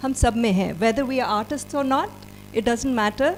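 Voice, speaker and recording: A woman with a high-pitched voice speaks with ordinary pitch variation. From South India (schooled in Andhra Pradesh). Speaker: panel speaker, rural development worker. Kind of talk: panel discussion. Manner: halting, with many filler sounds.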